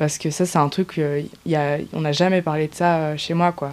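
A woman speaks in a flat monotone at a fairly low pitch. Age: 20s. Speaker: testimony interviewee. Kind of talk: personal testimony. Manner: halting.

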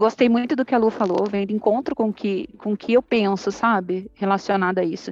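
A woman has an unremarkable speaking voice, medium in pitch with ordinary pitch variation, moving at a moderate pace with hardly any pauses. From southern Brazil, Ponta Grossa, Paraná. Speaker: food industry plant manager. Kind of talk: casual interview.

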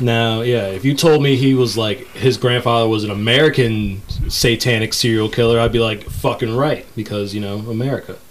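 A man talks at a fairly quick pace, with medium pitch, an animated tone and hardly any pauses. Background noise is noticeable. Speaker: podcast host. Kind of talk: casual banter podcast. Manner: animated, joking.

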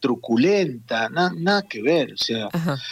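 This man's voice is pitched fairly high. The sound stays dry and close, without echo. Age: 50s. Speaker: theatre director and actor. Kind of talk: interview.

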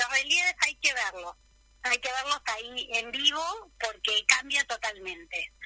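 Raising and projecting her voice, a woman with a high pitch and a bright, sharp tone speaks at a fairly slow pace with lively intonation, the sound dry and close with no echo. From Buenos Aires, Argentina. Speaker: retired kindergarten teacher and painter. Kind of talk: radio interview.

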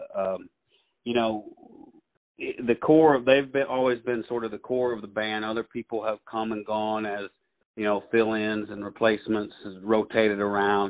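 With a Southern US accent, a man speaks at a moderate pace, his fairly low voice keeping a fairly even intonation. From US South. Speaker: actor. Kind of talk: casual interview.

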